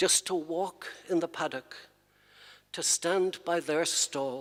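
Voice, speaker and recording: A man with an Irish accent speaks at a high pitch and a very slow pace. The sound is dry and close, with no echo. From Ireland. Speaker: poet. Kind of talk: poetry reading.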